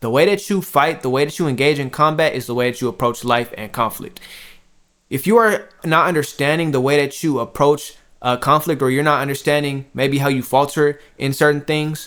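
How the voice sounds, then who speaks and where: On a very clean recording with a silent background, a man talks at a fairly quick pace, fairly high in pitch with ordinary pitch variation. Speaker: spiritual content creator. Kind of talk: casual vlog monologue. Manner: loud and direct on camera; emphatic.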